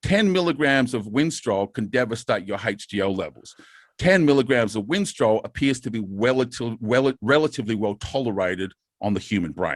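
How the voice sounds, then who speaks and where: The recording is very clean, dry and close, with a silent background and no echo. A man speaks at a medium pitch with lively intonation. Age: 50s. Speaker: bodybuilding and steroid-use educator. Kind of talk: podcast interview. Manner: fast.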